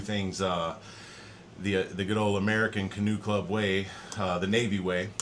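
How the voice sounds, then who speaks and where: A man speaks fairly quickly at a fairly low pitch, his intonation monotone and flat. Audible room echo colors the recording. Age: 40s. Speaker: podcast host, former Navy colleague. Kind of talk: casual interview.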